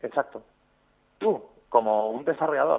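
A man is talking. His speed is moderate. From Spain, Zaragoza (Aragon). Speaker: video game project manager. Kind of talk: interview. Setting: phone call.

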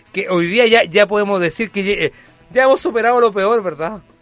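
A high-pitched man talking fairly quickly over background music. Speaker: radio talk show host. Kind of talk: casual chat. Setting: studio. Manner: animated.

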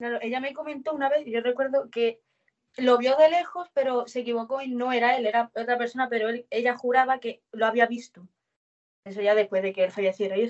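With a high-pitched voice and ordinary pitch variation, a woman speaks at a fairly quick pace. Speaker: witness. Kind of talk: testimony.

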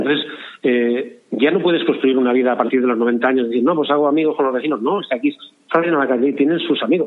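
A man with a fairly high pitch speaks very fast, using ordinary pitch variation. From Spain, León province (Castellanos). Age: 60s. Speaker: cultural association member. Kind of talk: interview. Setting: phone call.

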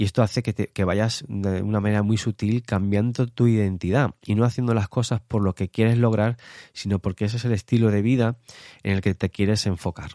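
Fairly low male voice with a dark, mellow tone and fairly even intonation. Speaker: psychologist podcast host. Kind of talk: solo podcast monologue. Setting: early morning home recording. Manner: hesitant with fillers.

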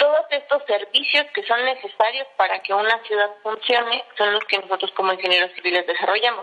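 Noticeable background noise sits behind a woman speaking at a fairly quick pace with hardly any pauses. Her pitch is fairly high, with ordinary pitch variation. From Mexico, Estado de México. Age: 30s. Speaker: civil engineer. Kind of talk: interview.

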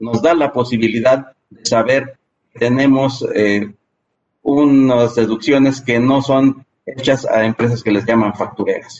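A man with a Mexican accent speaks at a fairly slow pace, his medium pitch held to a fairly even intonation. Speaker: tax accountant. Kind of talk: interview.

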